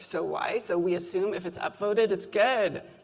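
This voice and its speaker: A woman of medium pitch talks at a moderate pace against noticeable background noise. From Canada. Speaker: application security expert and conference speaker. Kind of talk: conference talk. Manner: animated, casual.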